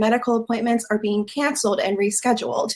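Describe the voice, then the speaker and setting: Her high voice holds a fairly even intonation. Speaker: abortion rights advocate. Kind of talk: conference talk.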